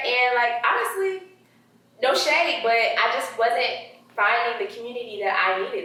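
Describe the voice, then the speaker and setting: A woman with an American accent talks with very wide pitch swings, over noticeable background noise and audible room echo. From South Carolina, US South. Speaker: social media influencer and blogger. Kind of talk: casual interview chat. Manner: animated.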